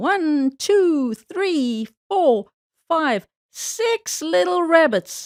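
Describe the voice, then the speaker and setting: In a squeaky, put-on character voice, the speaker talks very slowly with very wide pitch swings. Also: woman, high pitch for a woman. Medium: read story. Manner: chuckling, slow.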